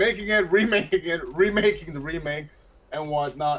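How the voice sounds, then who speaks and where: Noticeable background noise sits behind a man who speaks at a moderate pace in a high pitch. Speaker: gaming news podcast host. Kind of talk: casual podcast chat.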